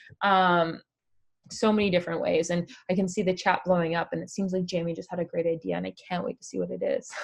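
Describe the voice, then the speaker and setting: With a Canadian accent, a woman speaks at a very fast pace. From Canada. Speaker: online craft community founder. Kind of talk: live stream chat. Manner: casual, with many fillers.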